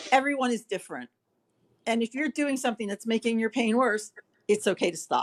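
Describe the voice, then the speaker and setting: A normal speaking voice, a woman's, fairly high in pitch with ordinary pitch variation, at a fairly quick pace. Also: dry, close sound with no echo. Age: 60s. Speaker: facial pain patient sharing experience. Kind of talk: panel discussion on video call.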